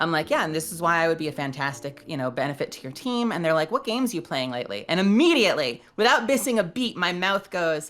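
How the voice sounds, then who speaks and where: A very fast, animated woman with a New York accent, fairly low in pitch, her pitch swinging very widely and hardly any pauses. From Brooklyn, New York. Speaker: voice actor and script writer. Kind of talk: interview.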